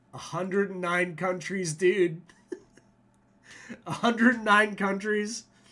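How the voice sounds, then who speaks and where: A man's raised, projected voice, high in pitch and bright, sharp in tone, with fairly even intonation, a fairly slow pace and long, frequent pauses. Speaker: meme show host. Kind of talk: casual commentary livestream. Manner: casual, profane.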